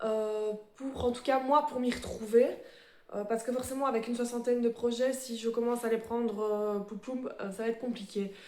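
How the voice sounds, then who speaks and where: Using a dark, mellow tone, a woman with a fairly high pitch speaks at a moderate pace with monotone, flat intonation. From Belgium. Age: 30s. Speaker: embroidery vlogger. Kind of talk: casual show-and-tell vlog. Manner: hesitant, many fillers.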